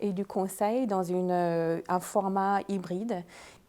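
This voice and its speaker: A woman's dark, mellow tone unfolds at a very slow pace. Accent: American. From United States. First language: English (speaking French). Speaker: leadership consultant and coach. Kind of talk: panel discussion.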